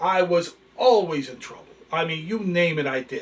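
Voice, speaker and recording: The man's pitch sits fairly high, and it varies in an ordinary way. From New York (Bronx), Italian-American family; later New Jersey. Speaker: channel host, storyteller. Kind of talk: casual storytelling monologue. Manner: animated.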